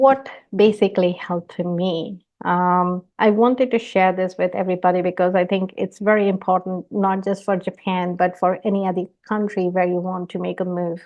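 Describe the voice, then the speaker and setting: The speaker, a woman, keeps a medium pitch. Her intonation stays fairly even. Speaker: engineering director giving a talk. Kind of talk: conference talk. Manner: slow, deliberately paced.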